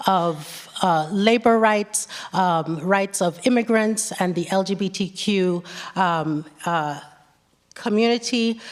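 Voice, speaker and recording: A woman's words come at a very slow pace, and her pitch shows ordinary variation. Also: medium pitch for a woman. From Nigeria and the West Indies. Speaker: professor, panelist. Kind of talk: panel debate. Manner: hesitant, many fillers and restarts.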